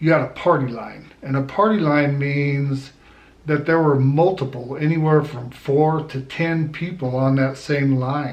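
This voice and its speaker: Here is a man with a plain, everyday voice and an American accent. His pitch is fairly high, his intonation fairly even, and his pace fairly slow. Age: 60s. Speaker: army veteran. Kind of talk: casual talk to camera.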